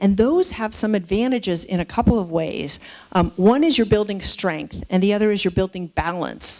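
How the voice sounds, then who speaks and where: Speaking at a moderate pace with ordinary pitch variation, a woman with an American accent has a dark, mellow tone against a quiet background. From San Francisco, California. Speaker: geriatrician and professor of medicine; professor of medicine. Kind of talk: keynote lecture. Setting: lecture hall with live audience. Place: hall. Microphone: headset.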